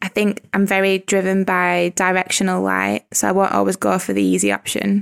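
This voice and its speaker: With a strong Lancashire accent, a woman talks at a fairly quick pace with hardly any pauses. The recording is very clean and dry, close with no echo, over a silent background. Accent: strong Lancashire northern English. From Lancashire, northern England. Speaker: wedding photographer and podcaster. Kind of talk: casual interview chat.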